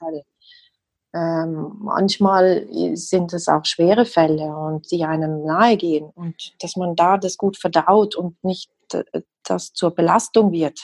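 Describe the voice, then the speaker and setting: The speech comes at a very slow pace with fairly even intonation and a slight South Tyrolean accent. The sound is dry and close, with no echo. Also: woman, fairly low pitch for a woman. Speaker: homeopath. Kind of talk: interview.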